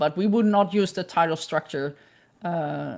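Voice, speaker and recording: Fairly low female voice with a Dutch accent, ordinary pitch variation and a moderate pace, over a quiet background. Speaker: image forensics scientist. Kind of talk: lecture Q&A discussion. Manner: halting.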